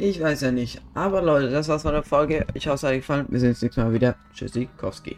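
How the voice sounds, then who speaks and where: A man with a fairly high pitch and ordinary pitch variation, speaking at a very fast pace with hardly any pauses over music in the background. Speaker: gaming YouTuber. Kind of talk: let's play commentary. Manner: casual, animated.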